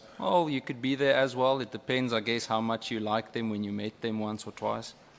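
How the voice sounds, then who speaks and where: Speaking at a fairly quick pace, a man with a South African accent keeps his intonation fairly even. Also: medium pitch for a man. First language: Afrikaans. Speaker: member of parliament questioning a witness. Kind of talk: parliamentary questioning.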